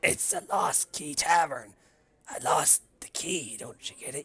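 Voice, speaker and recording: This man uses a put-on character voice, raspy and fairly high in pitch. He talks at a fairly slow pace. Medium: actual play. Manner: rambling, wistful.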